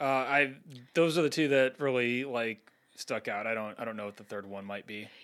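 He has an unremarkable speaking voice at a medium pitch for a man. The pace is moderate and the pitch variation ordinary. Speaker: podcast co-host. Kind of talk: casual conversational podcast chat.

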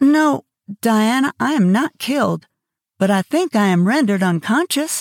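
A woman's fairly high voice with very wide pitch swings, very even loudness and a moderate pace, on a very clean recording with a silent background and a dry, close sound with no echo. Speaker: audiobook narrator. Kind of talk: literary audiobook reading. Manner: expressive, storytelling delivery with character voices; warm, conversational intro and outro.

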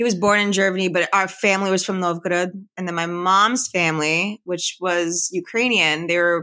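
Speaking with an American accent, a woman has a medium pitch and a bright, sharp tone. Her intonation is fairly even, at a moderate pace. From Philadelphia area, US. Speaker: podcast guest. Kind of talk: casual interview.

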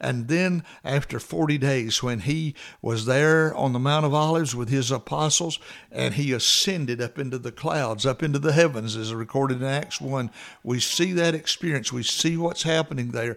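A man's ordinary speaking voice, medium in pitch with ordinary pitch variation, at a moderate pace. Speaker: devotional radio host and preacher. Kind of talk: fervent prayer. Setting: studio. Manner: earnest, heartfelt, pleading; warm, sincere.

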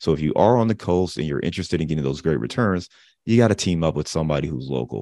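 Very fast speech with vocal fry and lively intonation against a quiet background. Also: man. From Cleveland, Ohio (US Midwest). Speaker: real estate investor. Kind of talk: interview.

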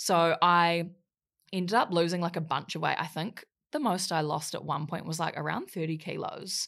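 Over a very clean recording with a silent background, a woman with a New Zealand accent speaks at a moderate pace in a fairly low pitch with fairly even intonation. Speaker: social media influencer and model. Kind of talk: casual interview chat. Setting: podcast studio.

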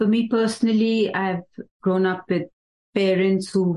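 In an Indian accent, a woman speaks with a fairly low pitch and a dark, mellow tone. Her intonation stays fairly even. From India, Nainital district (Uttarakhand). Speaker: medical business office worker. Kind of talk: casual chat. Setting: in-person group conversation.

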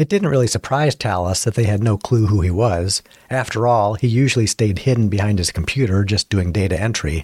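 The text is read aloud plainly, and the pitch rises and falls in an ordinary way.

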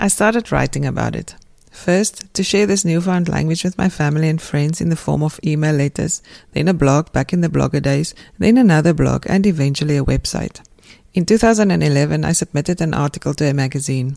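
A woman with a South African accent speaks at a fairly quick pace with a dark, mellow tone and a very deep, low pitch that varies an ordinary amount. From South Africa, Pretoria. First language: Afrikaans. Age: 50s. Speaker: textile writer and podcast host. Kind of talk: scripted narration.

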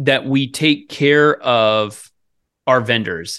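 A man with an American accent speaks at a medium pitch with lively intonation. The background is quiet. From US Northwest, Oregon-Idaho border. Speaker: podcast host, pest control business coach. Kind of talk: casual business podcast chat.

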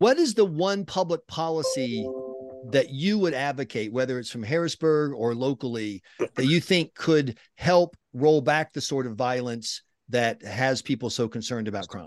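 An unremarkable speaking voice with an American accent moves at a moderate pace with lively intonation, in a dry, close sound with no echo. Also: man, medium pitch for a man. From rural South Carolina. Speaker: podcast host. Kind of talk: interview.

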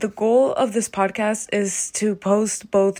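The speaker has a General American accent and a monotone, flat delivery. The recording is very clean, with a silent background. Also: woman. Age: 20s. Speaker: economics PhD student, podcaster. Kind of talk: solo monologue, partly scripted.

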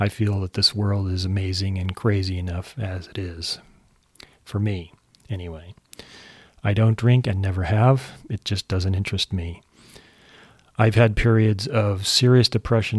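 A man with an American accent speaks at a moderate pace in a fairly low, somewhat breathy voice. His intonation stays fairly even. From California, US (San Jose). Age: 60s. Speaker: podcast host. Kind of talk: scripted monologue introduction.

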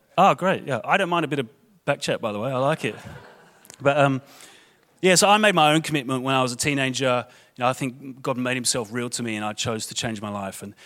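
With a London accent, a man at a medium pitch talks at a very fast pace, his intonation lively. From London, England. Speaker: guest preacher. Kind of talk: sermon. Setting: church. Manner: informal, conversational.

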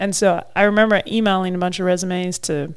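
The voice carries an Australian accent. It moves at a moderate pace. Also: woman. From Australia, Mildura (rural Victoria). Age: 30s. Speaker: professional wakeboarder. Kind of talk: casual chat.

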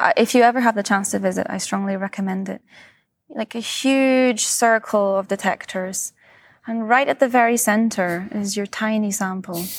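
A woman with a Scottish accent talks at a moderate pace in a fairly high pitch with ordinary pitch variation, heard as a dry, close sound with no echo. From Scotland. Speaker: physicist. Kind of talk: interview.

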